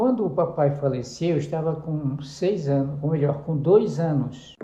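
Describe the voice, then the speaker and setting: Dark and mellow yet somewhat breathy, a man's fairly high voice moves at a fairly slow pace with ordinary pitch variation. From Brazil, Pará (interior, Juruti). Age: 70s. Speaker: pastor. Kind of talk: interview, life story testimony. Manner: halting, with self-corrections.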